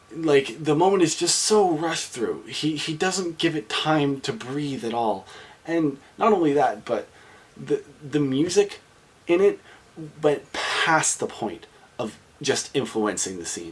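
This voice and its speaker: Through noticeable background noise, a man with a fairly high voice talks at a fairly slow pace with lively intonation. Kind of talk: movie review talk to camera.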